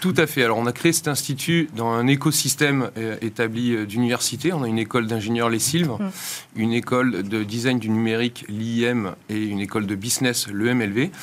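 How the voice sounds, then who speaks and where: A plain, everyday voice with ordinary pitch variation at a moderate pace. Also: man, medium pitch for a man. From France. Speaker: institute founder and director. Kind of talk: interview.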